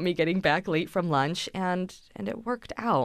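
A woman speaks in an unremarkable speaking voice at a fairly low pitch. Her pace is moderate, her pitch variation is ordinary, and the background is quiet. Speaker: television traffic coordinator. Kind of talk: interview.

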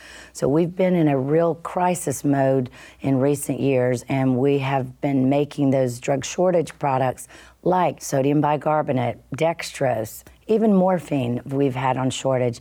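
A woman talks with a Southern US accent in a very deep, low pitch and a dark, mellow tone. Her loudness stays very even, and the recording is very clean with a silent background. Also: ordinary pitch variation, fairly slow pace. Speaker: company CEO. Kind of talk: radio interview.

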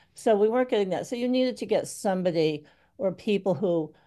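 Over a quiet background, a woman with a New England accent speaks at a fairly quick pace, her tone dark and mellow and her intonation lively. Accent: New England American. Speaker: retired newspaper editor and publisher. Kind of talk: radio roundtable discussion.

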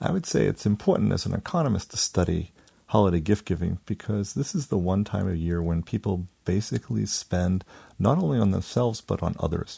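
A man with a very deep, low pitch and dark, mellow tone, ordinary pitch variation, a fairly quick pace and a quiet background. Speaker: economics researcher. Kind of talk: radio interview.

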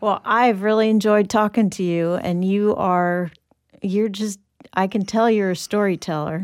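Using an ordinary speaking voice, a woman talks at a fairly slow pace with medium pitch and fairly even intonation. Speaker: interviewer, host. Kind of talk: interview.

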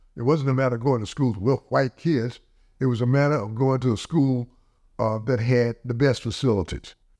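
A man's medium-pitched voice with a dark, mellow tone, fairly even intonation and a fairly quick pace. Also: quiet background. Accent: American. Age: 80s. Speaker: interviewee recalling school integration. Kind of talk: interview recollection.

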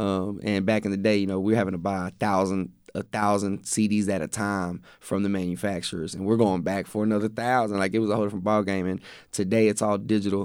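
A man with a Texan accent talks very fast in a fairly low, monotone, flat voice. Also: very clean recording, silent background. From Texas. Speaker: hip-hop artist. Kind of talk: casual interview. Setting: radio studio. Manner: casual, repeats words.

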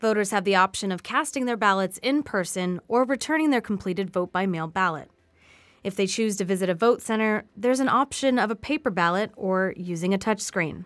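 A woman speaks at a fairly quick pace in a normal speaking voice, medium in pitch with ordinary pitch variation. The recording is very clean, with a silent background. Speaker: radio news anchor. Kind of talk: radio newsreading, scripted headlines. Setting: radio studio. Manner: formal, even-paced, neutral.

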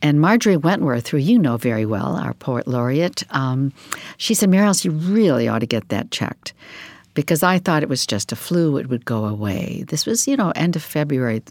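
A woman with a very deep, low pitch and very wide pitch swings talks at a moderate pace, recorded with a dry, close sound and no echo. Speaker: novelist. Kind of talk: casual interview chat. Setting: studio.

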